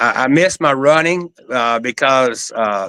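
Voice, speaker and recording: This voice has a bright, sharp tone and a very slow pace, recorded dry and close with no echo. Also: man. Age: 60s. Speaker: livestream host. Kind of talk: casual chat. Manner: halting.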